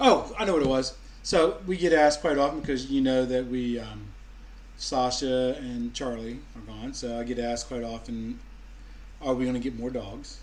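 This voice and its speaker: A man speaks with a New England accent at a moderate pace. Audible room echo hangs around his voice. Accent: Yankee. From US Mid-Atlantic, Maryland. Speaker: vlogger. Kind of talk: casual chat. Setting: live stream at home.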